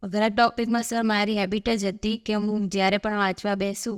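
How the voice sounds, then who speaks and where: Pitched at a medium level, a woman speaks with monotone, flat intonation on a very clean recording with a silent background and a dry, close sound with no echo. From Gujarat, India (Dehgam area village). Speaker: successful exam candidate, village accountant. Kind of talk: interview.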